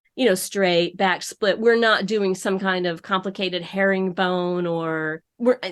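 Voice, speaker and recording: A woman with an American accent talks in a normal speaking voice at medium pitch, with fairly even intonation and hardly any pauses. The background is quiet. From upstate New York. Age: 60s. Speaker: embroidery business owner. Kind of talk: podcast interview.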